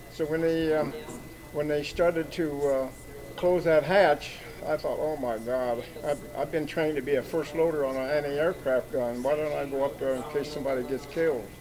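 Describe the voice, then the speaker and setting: Amid noticeable background noise, a man speaks at a moderate pace, his pitch fairly high and his intonation fairly even. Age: 90s. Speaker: war veteran. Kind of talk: testimony. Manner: halting.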